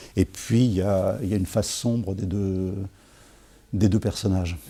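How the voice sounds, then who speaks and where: Dark and mellow in tone, the voice goes along at a fairly quick clip. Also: man. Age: 60s. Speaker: writer answering school interview questions. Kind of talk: interview answers. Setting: school visit. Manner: hesitant, many fillers and repetitions.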